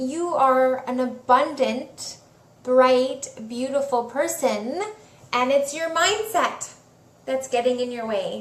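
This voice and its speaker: Very slowly and at a high pitch, a woman speaks with ordinary pitch variation, with audible room echo and noticeable background noise around her. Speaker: spiritual coach / healer. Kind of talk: live Q&A talk. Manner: casual, chatty.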